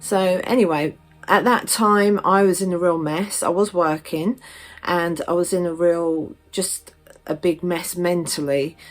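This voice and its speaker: With music in the background, a woman speaks in a southern English accent at a fairly slow pace. Her pitch is fairly low, with ordinary variation. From southern England, Stevenage, Hertfordshire. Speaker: witchcraft vlogger. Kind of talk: personal story vlog. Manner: casual, many fillers.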